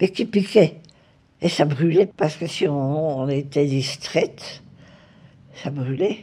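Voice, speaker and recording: A woman with a very deep, low pitch and a dark, mellow tone speaks at a very slow pace, with long, frequent pauses and ordinary pitch variation. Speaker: retired nurse. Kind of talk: interview answer.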